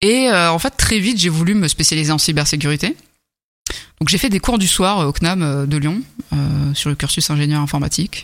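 An ordinary speaking voice from a woman, fairly low in pitch, with lively intonation, a moderate pace and very even loudness. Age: 30s. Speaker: cybersecurity engineer. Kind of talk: casual interview.

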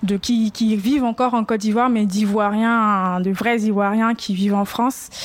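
A woman with an unremarkable speaking voice talks at a fairly slow pace and a fairly high pitch. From Ivory Coast. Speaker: podcast guest, Ivorian woman. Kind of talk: public panel discussion. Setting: live event with audience.

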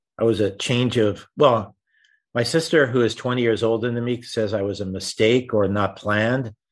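Against a quiet background, a man speaks at medium pitch and a moderate pace with fairly even intonation. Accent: New York. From New York City (Rockaway, Queens). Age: 60s. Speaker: wealth manager. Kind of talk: interview.

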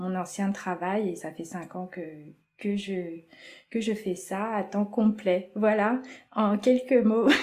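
In a dark, mellow tone, a woman talks very slowly. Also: very clean recording, silent background. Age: 40s. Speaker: creative drawing teacher. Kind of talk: interview.

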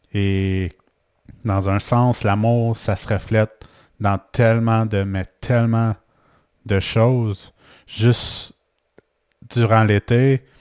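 On a very clean recording with a silent background and a dry, close sound with no echo, a man with a Quebec accent speaks at a fairly low pitch in a monotone, flat intonation, at a very slow pace with long, frequent pauses. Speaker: life coach and podcaster. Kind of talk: personal monologue podcast. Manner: halting, with repetitions.

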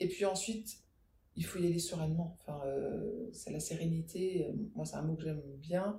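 A woman with a fairly low pitch and a dark, mellow tone speaks somewhat breathily at a moderate pace. Her pitch varies in an ordinary way, and audible room echo surrounds her. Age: 40s. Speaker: podcast creator, school orientation expert. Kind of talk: interview, casual chat.

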